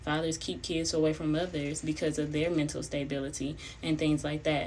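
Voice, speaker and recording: A woman talks at a fairly quick pace in a very deep, low pitch with vocal fry. Her intonation stays monotone and flat. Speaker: mother and parenting commentator. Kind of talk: casual talk to camera.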